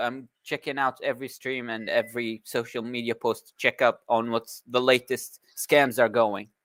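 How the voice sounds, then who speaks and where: A man talks at a moderate pace in a monotone, flat intonation with hardly any pauses, the sound dry and close without echo. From Iraq. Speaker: caller. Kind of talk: call-in comment.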